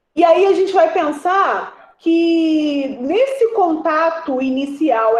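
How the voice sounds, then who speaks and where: A woman talks at an extremely high pitch with very wide pitch swings and an animated tone. Audible room echo surrounds her voice. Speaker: history student teaching a class. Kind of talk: online lecture.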